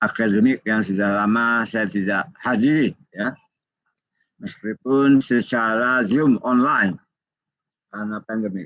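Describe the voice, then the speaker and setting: A man's bright, sharp tone at a very slow pace, with fairly even intonation. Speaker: judge giving guest lecture. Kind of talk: webinar lecture. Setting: online video call. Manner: halting.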